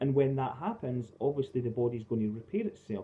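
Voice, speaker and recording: A man is speaking. His pace is very fast. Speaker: health and fitness coach. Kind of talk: casual talking-head video. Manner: hesitant with fillers.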